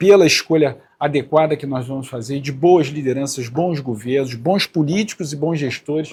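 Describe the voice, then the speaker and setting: This man speaks at a moderate pace in a fairly high, somewhat breathy voice with fairly even intonation. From Rio de Janeiro, north zone. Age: 50s. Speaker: politician. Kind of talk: interview. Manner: hesitant with fillers.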